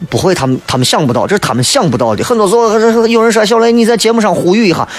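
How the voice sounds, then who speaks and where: A man with a Shaanxi accent, high-pitched and animated, at very even loudness amid noticeable background noise. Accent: Shaanxi Mandarin (Xi'an dialect). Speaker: radio talk show host. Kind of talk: radio talk show monologue, humorous. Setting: radio studio broadcast. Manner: animated, humorous, colloquial; toned down, saving his voice.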